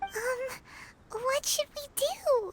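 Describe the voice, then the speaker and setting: This is a put-on character voice. It sounds squeaky and extremely high. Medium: video game. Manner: casual, chatty.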